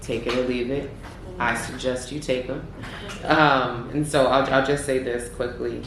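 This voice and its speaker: Amid noticeable background noise and audible room echo, a woman keeps a moderate pace. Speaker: judge. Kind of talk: feedback to students.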